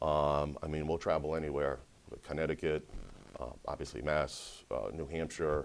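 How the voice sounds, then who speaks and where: Vocal fry at a moderate pace, monotone with flat intonation. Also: man, very deep, low pitch for a man. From Rhode Island (East Providence), moved from Brazil at seven. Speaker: sales and marketing director at a law firm. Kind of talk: casual business interview. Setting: mortgage company office.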